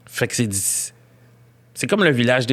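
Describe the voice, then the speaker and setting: With a strong Quebec accent, a man talks at a medium pitch with ordinary pitch variation. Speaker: comedian. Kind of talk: casual chat.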